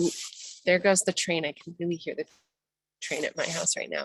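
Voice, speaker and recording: A woman's voice comes through with a dry, close sound that has no echo. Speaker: birding guide. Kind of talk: guided session. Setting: outdoors video session. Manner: animated; soft-spoken.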